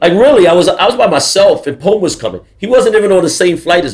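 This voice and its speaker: A man speaks at a moderate pace with a New York accent. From US, the Bronx, New York. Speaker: graffiti artist. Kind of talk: talk to a live audience. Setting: stage with audience.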